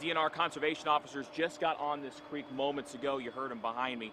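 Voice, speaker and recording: Talking very fast, a man keeps his pitch fairly high. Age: young. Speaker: TV news anchor and reporter. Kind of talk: live TV news report and anchor read. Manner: energetic.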